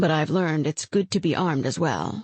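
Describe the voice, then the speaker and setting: A woman growls in a put-on character voice with a very deep, low pitch, speaking at a fairly quick pace and very even loudness. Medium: read story. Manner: wry, dry teasing.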